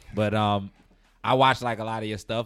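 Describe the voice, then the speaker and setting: A man talks at a fairly quick pace in a New York accent. The recording is very clean, with a silent background. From New York, Trinidadian family. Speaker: podcast co-host. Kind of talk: casual podcast conversation.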